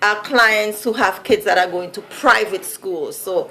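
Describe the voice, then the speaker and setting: Against noticeable background noise, a woman with a Vincentian accent speaks at a moderate pace and a fairly high pitch, with lively intonation. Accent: Vincentian Caribbean accent, noticeable. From Saint Vincent (Caribbean). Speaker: vlogger. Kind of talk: casual vlog monologue. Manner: conversational, many fillers.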